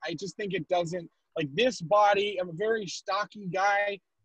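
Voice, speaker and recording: A loud, high-pitched man's voice, dry and close with no echo. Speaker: stand-up comedian. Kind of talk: stand-up. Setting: video call from his car.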